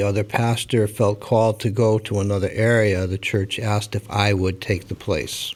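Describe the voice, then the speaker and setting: A man with a fairly low pitch speaks at a moderate pace in a monotone, flat intonation. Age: 60s. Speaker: pastor. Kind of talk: interview.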